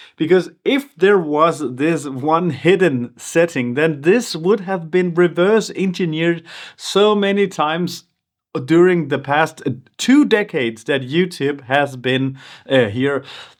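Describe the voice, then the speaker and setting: A man with a non-native accent speaks at a fairly slow pace and fairly high pitch, his intonation lively. The recording is very clean, with a silent background. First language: not English. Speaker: YouTuber. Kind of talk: vlog monologue. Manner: halting.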